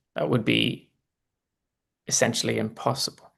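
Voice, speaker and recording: A man speaks in a Northern Irish accent. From Northern Ireland. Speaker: political commentator. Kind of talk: live election analysis. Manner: halting, many restarts.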